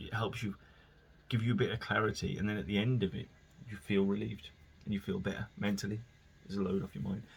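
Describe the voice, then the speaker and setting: A man with a West Midlands accent talks at a fairly quick pace, fairly low in pitch, with vocal fry and ordinary pitch variation. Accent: local West Midlands. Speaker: podcast host. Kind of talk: casual solo monologue. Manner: rambling, informal.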